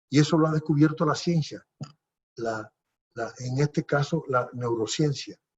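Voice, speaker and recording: Somewhat breathy, a man speaks at a moderate pace with a fairly high pitch and lively intonation. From Dominican Republic, Puerto Plata province. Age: 70s. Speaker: politician. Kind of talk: interview. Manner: halting.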